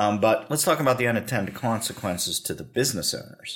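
This man's intonation is lively. He speaks at a fairly quick pace. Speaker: podcast host. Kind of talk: interview discussion on banking policy. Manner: conversational, hesitant with fillers.

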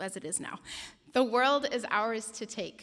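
An ordinary speaking voice from a woman with an American accent, fairly high in pitch, at a fairly slow pace. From United States. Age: 20s. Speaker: preacher. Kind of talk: sermon. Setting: mosque.

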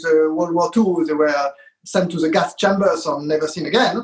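A man is speaking. His pace is moderate. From France (Paris). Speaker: composer. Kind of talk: casual interview. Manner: halting.

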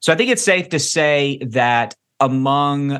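With a Kentucky accent and a bright, sharp tone, a man speaks in fairly even intonation over a quiet background. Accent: Kentucky Southern American. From Kentucky, US South. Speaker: pastor. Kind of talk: interview. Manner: halting, many repetitions.

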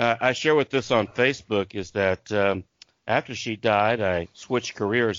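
A man speaks with a slight Southern US accent. His pace is moderate and his pitch variation ordinary. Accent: slight Southern twang. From Tulsa, Oklahoma. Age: 50s. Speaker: Patreon fan, former minister. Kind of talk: casual chat about a TV show.

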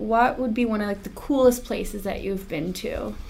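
At a moderate pace, a woman speaks in a fairly high voice against noticeable background noise. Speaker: interviewer at trucking company. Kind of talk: interview, casual conversation.

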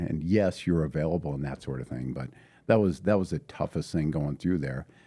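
This man's voice sits very deep and low, with a dark, mellow tone. His pitch moves in an ordinary way. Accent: Upper Midwest. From northern Minnesota, International Falls. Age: 50s. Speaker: high school football coach and math teacher. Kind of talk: casual interview conversation.

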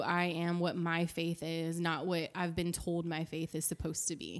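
A woman with a Louisiana accent, fairly low in pitch, at a moderate pace. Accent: Louisiana Southern US. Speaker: church accounting director. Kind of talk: casual interview chat, testimony.

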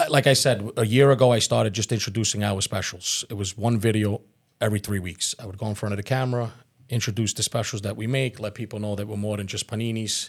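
On a very clean recording with a silent background, a man talks at a fairly quick pace with a fairly low pitch and fairly even intonation. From Staten Island, New York (born in Calabria, Italy). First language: Italian. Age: 40s. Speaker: restaurant owner. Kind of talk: podcast interview.

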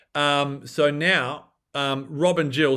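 Against a quiet background, a man with an Australian accent speaks at a fairly high pitch. His tone is bright and sharp, and his intonation fairly even. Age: 40s. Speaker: former journalist and longevity researcher. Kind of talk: casual interview.

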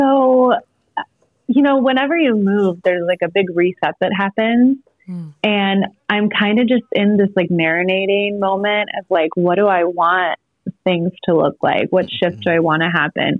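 Speaking at a medium pitch and moderate speed, a woman uses a normal speaking voice with ordinary pitch variation. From North Carolina, born in Iowa. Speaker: mental health counselor and writer. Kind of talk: interview. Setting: phone call.

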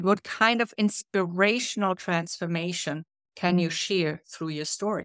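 Using a German accent, a woman talks at a fairly low pitch and a fairly slow pace with ordinary pitch variation, recorded very cleanly against a silent background in a dry, close sound with no echo. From Germany. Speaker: leadership coach and author. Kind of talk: interview conversation.

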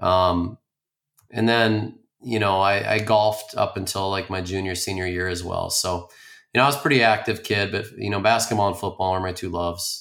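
A man with an Upper Midwest accent, fairly low in pitch, with fairly even intonation, on a very clean recording against a silent background. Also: moderate pace. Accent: Upper Midwest (Minnesota). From Minnesota, Twin Cities suburbs. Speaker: high school coach and principal. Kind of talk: interview conversation. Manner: frequent fillers and repetitions.

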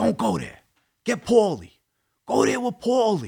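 In a very clean recording with a silent background, a man talks at a fairly quick pace with a Brooklyn accent. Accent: Brooklyn New York. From Brooklyn, New York. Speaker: former mob associate turned podcaster. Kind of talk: storytelling in an interview.

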